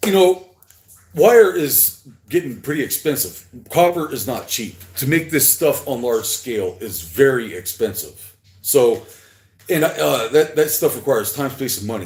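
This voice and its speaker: A man speaks at a moderate pace with a fairly high pitch. His voice shows vocal fry and very wide pitch swings. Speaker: artist livestreaming his work. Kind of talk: casual livestream monologue. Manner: halting, stuttering; slurring at times.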